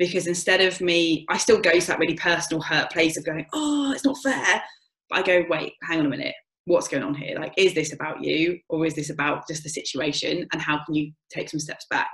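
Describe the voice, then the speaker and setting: Her voice is fairly low for a woman, with ordinary pitch variation and a fairly quick pace. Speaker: coach and facilitator. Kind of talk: podcast interview. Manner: fast; animated.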